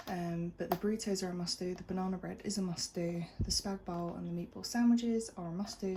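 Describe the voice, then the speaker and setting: In a British accent, a woman speaks at a fairly quick pace. Her pitch is fairly low and her intonation fairly even. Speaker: food vlogger. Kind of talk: casual vlog narration. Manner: quiet.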